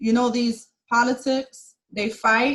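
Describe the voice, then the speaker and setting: A woman's high-pitched voice carries an animated tone. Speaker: accountant. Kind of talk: webinar presentation.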